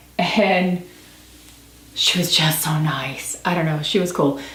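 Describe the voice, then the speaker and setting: Against noticeable background noise, a woman speaks at a medium pitch and a fairly slow pace. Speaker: book reviewer. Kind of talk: casual talk to camera. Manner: rambling, chatty.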